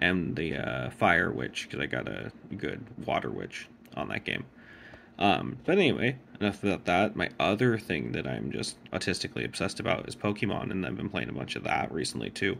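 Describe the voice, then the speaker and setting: Very deep and low, a man's voice carries vocal fry at a fairly quick pace. His pitch swings very widely. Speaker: gaming vlogger. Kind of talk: casual vlog update. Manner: quiet; hesitant, many fillers.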